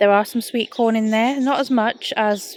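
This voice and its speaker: A woman with an English accent at a moderate pace, with ordinary pitch variation. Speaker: gardening vlogger. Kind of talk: scripted narration. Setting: home recording at night.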